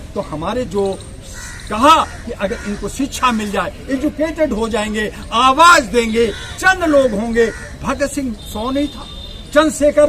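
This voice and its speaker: Over noticeable background noise, a man uses a raised, projected voice with lively intonation. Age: 60s. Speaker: political activist and party leader. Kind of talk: political speech. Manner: animated.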